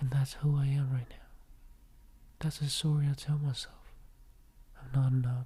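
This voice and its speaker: A man speaks at a moderate pace with a fairly high pitch. His voice is somewhat breathy, with a dark, mellow tone. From Vietnam. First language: Vietnamese. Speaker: podcaster. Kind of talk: personal reflective monologue.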